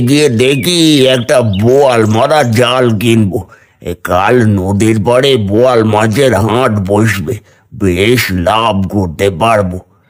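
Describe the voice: Using a cartoonish character voice at a medium pitch, a man speaks at a very slow pace.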